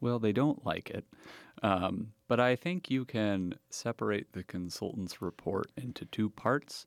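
A man's plain, everyday voice, medium in pitch and fairly slow, in a dry, close sound with no echo on a very clean recording with a silent background. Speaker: political researcher. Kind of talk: interview.

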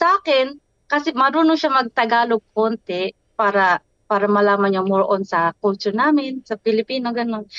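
With a Filipino accent, a woman speaks at a fairly quick pace with a fairly high pitch and very even loudness, in a dry, close sound with no echo. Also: lively intonation. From Philippines, Bicol. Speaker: interviewee, mother. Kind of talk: interview.

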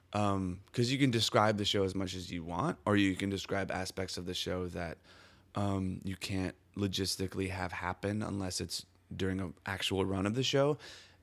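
Over a silent background in a very clean recording, a man with an American accent talks at a moderate pace in a very deep, low pitch with fairly even intonation. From US Midwest, Milwaukee, Wisconsin. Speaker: theater artist. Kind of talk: interview. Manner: halting, many restarts.

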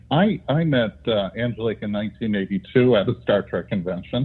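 A man speaks in a normal speaking voice. His pitch is medium, with ordinary pitch variation. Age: 60s. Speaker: retired academic and author. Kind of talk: interview.

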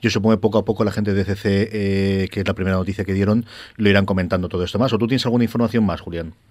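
Talking very fast in a flat monotone, a man with a fairly low pitch is heard in a very clean recording with a silent background. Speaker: comics podcast host. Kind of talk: casual chat.

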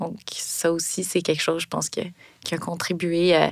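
A woman talks at a moderate pace in a Quebec accent. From Quebec (Longueuil, Montreal area). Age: 30s. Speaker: storyteller sharing a personal story. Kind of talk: personal testimony.

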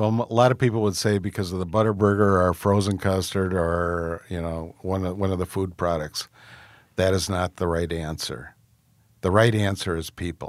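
With an American accent, a man talks at a moderate pace in a very deep, low pitch and fairly even intonation, captured in a very clean recording with a silent background. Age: 60s. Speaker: restaurant founder and chairman. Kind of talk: interview.

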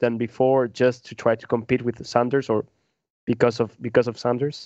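Heard with a dry, close sound and no echo, a man talks at a moderate pace. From Peru. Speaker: podcast panelist on world affairs. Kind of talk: casual roundtable discussion. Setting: in-person around a table. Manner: halting, many repeated words and false starts.

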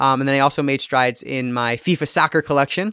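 Heard with a dry, close sound and no echo, a man speaks in an unremarkable speaking voice with ordinary pitch variation. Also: very clean recording, silent background. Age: 30s. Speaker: podcast co-host. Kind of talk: casual chat about films.

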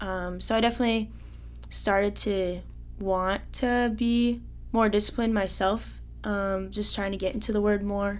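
Audible room echo accompanies a woman speaking at a moderate pace. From Iowa. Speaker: college student. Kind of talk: testimony.

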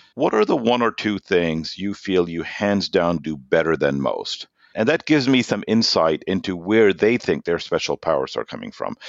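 A man with a German accent talks with hardly any pauses. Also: moderate pace. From Germany and Norway. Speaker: sales executive. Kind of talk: interview. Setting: remote call.

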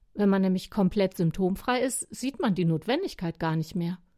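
In a very clean recording with a silent background, a woman with a dark, mellow tone and medium pitch speaks with lively intonation. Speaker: radio devotional columnist. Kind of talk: scripted personal monologue.

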